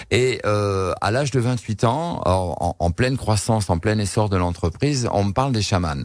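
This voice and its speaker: A fairly low-pitched man at a moderate pace with ordinary pitch variation. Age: 60s. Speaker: shaman, former entrepreneur. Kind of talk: radio interview. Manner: halting, many repetitions and hesitations.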